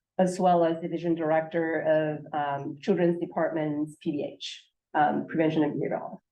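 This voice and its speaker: Room echo is audible around a woman's voice. She talks at a moderate pace. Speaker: state health official presenting. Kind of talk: conference presentation. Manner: hesitant with many fillers.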